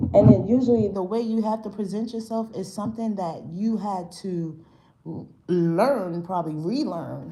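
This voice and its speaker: A woman speaks in an animated tone at a moderate pace, with big swings in loudness. Noticeable background noise and audible room echo are present. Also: medium pitch for a woman, ordinary pitch variation. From New York, Brooklyn. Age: 40s. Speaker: spiritual tarot reader. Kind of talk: live-stream tarot reading. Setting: live stream. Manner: casual, animated.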